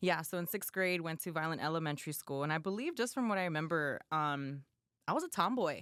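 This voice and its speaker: A woman's fairly low voice in a Californian accent at a very fast pace, on a very clean recording with a silent background. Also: ordinary pitch variation. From Southern California, Los Angeles area. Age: 30s. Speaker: personal trainer, former correctional officer. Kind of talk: podcast interview.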